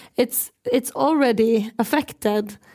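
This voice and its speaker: A woman speaks very slowly in a fairly high pitch with ordinary pitch variation. Her tone is dark and mellow. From Norway, Sápmi. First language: Sami or Norwegian. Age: 20s. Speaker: Sami activist, musician and actress. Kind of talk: panel conversation on stage. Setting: stage with audience.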